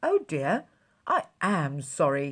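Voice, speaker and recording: A woman's put-on character voice, very deep and low in pitch, on a very clean recording with a silent background. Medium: read story.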